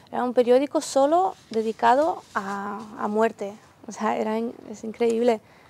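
A woman's fairly high voice, an ordinary speaking voice, fairly slow, with ordinary pitch variation and big swings in loudness. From Ukraine. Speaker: volunteer aid worker. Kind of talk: TV interview.

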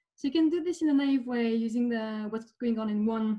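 A woman talks fairly quickly, her pitch varying in an ordinary way, with a quiet background behind her. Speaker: speaker. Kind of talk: lecture. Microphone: webcam.

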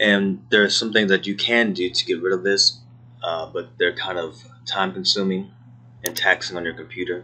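Fairly low pitch, a moderate pace and fairly even intonation from a man with a plain, everyday voice. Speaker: 3D animation tutorial creator. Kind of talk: tutorial. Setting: laptop recording at workplace. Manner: casual, frequent filler words.

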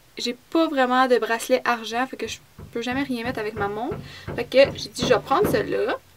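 The woman talks fairly quickly at a high pitch with ordinary pitch variation, noticeable background noise audible throughout. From Quebec. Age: 20s. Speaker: beauty vlogger. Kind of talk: product review vlog. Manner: casual, hesitant. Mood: chatty, a bit upset about loss. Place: home room. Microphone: phone near.

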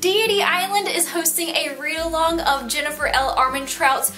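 An American accent from a woman at a moderate pace, with faint music in the background. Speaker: book vlogger. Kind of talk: casual talk to camera. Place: home room. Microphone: camera far.

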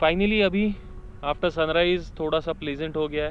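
Over faint background noise, a man speaks at a fairly slow pace in a fairly high voice with ordinary pitch variation.

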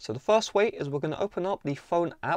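Over a quiet background, a man talks very fast at a high pitch, with a dry sound and no echo. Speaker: tech tutorial host. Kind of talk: tutorial. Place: home room.

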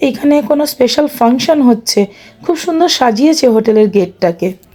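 This voice has a dark, mellow tone and very wide pitch swings while its loudness stays very even. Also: woman. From India, rural West Bengal. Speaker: vlogger. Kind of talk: travel vlog narration.

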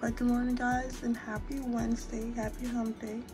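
Clear music plays in the background as a woman talks at a moderate pace with a high pitch. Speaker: college student. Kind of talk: casual talk to camera. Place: home room. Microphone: phone near.

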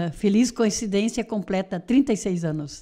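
A woman speaks at a fairly slow pace with a dark, mellow tone and a medium pitch. Her pitch varies in an ordinary way against a quiet background. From Rio Grande do Sul, Missões region (rural); Rio Grande do Sul. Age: 70s. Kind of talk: interview. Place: studio. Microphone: studio mic.

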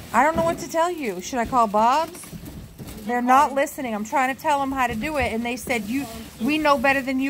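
A woman speaks at a fairly quick pace in a high voice with ordinary pitch variation. There is noticeable background noise. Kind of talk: complaining to someone about movers. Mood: frustrated, annoyed. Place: street. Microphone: phone near.

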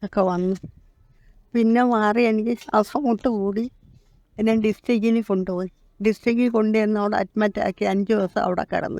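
In a dry, close sound with no echo, a woman speaks with a dark, mellow tone at a fairly high pitch and with fairly even intonation. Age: 80s. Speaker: elderly heart patient, flat resident. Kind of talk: interview testimony.

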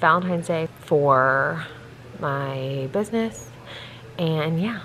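This woman's pitch is very deep and low, with ordinary variation. Light background noise is present. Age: 30s. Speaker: vlogger. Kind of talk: casual vlog talk to camera. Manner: casual, filler-heavy. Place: home room. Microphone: phone near.

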